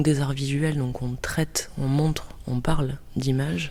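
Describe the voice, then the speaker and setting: In a room with audible echo and noticeable background noise, a woman talks fairly slowly at a very deep, low pitch with fairly even intonation. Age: 30s. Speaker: cultural mediator. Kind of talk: interview. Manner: hesitant with filler euh.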